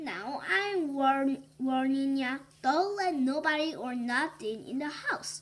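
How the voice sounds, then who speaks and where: A gruff, growling put-on character voice at a fairly slow pace. It runs on with hardly any pauses. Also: woman, high pitch for a woman. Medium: read story.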